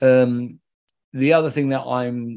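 With a South London accent, a man speaks using fairly even intonation. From London, England (Lewisham). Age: 50s. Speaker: ecologist. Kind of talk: interview.

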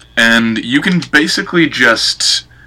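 Medium pitch with ordinary variation, a man's voice described as a normal speaking voice. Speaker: guest presenting an artist. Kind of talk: casual chat, informal presentation. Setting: Skype call.

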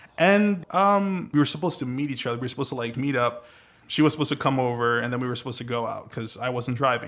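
A man with an American accent talks at a very fast pace, his pitch medium with ordinary variation. The recording is very clean with a silent background. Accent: Trinidadian, with a developed American. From Trinidad and Tobago. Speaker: podcast host, voice-over artist. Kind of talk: casual chat.

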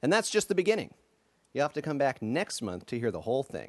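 A man's voice sounds theatrical and animated, with very wide pitch swings around a medium pitch. The recording is dry and close, with no echo. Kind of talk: dramatic second-person narration of interactive story. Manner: theatrical, animated narrator.

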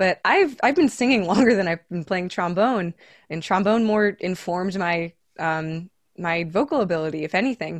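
A woman talks at a moderate pace and medium pitch in an unremarkable speaking voice, with ordinary pitch variation. The sound is dry and close with no echo, over a quiet background. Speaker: jazz trombonist and vocalist. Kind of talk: casual interview.

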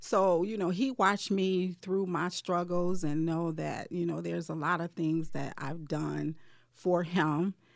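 In a normal speaking voice with an American accent, a woman with a fairly low pitch talks at a fairly slow pace with fairly even intonation on a very clean recording with a silent background. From Detroit, Michigan. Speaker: bridal shop owner. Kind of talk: casual interview.

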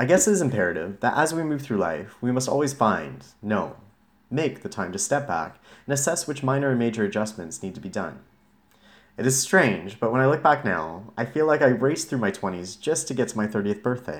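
On a very clean recording with a silent background, a man speaks fairly quickly at a medium pitch, using vocal fry and very wide pitch swings. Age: 30s. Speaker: blogger reading own post. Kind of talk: reading aloud. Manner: casual, conversational.

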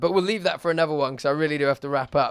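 A man speaks with an English accent. His pitch is fairly high, with ordinary variation. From England. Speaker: podcast host. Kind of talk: casual chat.

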